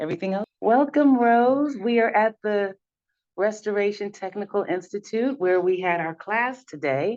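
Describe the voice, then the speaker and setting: A woman's normal speaking voice at a medium pitch, moderately paced, her intonation lively. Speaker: business coach. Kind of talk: podcast interview host.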